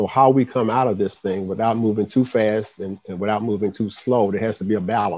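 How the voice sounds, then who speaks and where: A man with an American accent talks at a fairly quick pace in an unremarkable speaking voice, fairly low in pitch with fairly even intonation. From US South, Birmingham, Alabama. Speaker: city commerce director. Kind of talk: interview.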